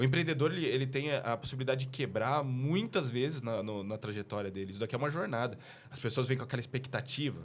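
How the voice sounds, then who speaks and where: A man at medium pitch talks at a very fast pace with ordinary pitch variation. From Brazil, São Paulo. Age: 30s. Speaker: business owner. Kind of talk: casual chat.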